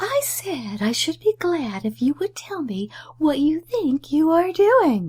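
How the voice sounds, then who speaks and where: A woman whispering in a put-on character voice at a fairly slow pace. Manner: whispering, coldly demanding.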